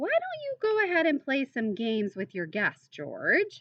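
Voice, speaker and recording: Putting on a character voice, a woman speaks high at a moderate pace with very wide pitch swings. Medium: read story. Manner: warm, gentle.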